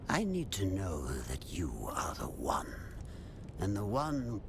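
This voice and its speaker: Whispering in a put-on character voice, a man is heard over loud background noise. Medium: video game. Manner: cryptic, repetitive.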